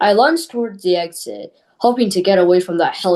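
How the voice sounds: A natural reading voice with ordinary pitch variation plays against a quiet background.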